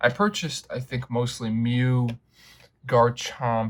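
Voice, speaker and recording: A man speaks in a somewhat breathy voice. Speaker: card collector YouTuber. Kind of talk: unboxing commentary. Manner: casual, with fillers.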